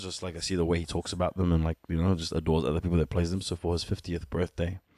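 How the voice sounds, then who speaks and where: A man with a very deep, low pitch and a dark, mellow tone speaks at a very fast pace in a monotone, flat delivery, the sound dry and close with no echo. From Ethiopian family, born in Sudan, raised partly in New Zealand. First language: Amharic (Ethiopian mother tongue). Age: 30s. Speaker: musician. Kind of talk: casual chat.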